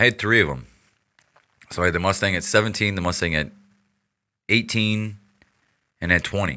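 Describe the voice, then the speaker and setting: A fairly low-pitched man with an American accent, at a fairly quick pace with ordinary pitch variation. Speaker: podcast guest. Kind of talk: casual chat.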